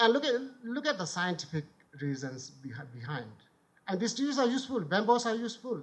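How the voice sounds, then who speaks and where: With a Bhutanese accent, a man talks at a fairly quick pace in a high pitch that swings very widely. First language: Kurtoep. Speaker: former member of parliament and author. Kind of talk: conference talk.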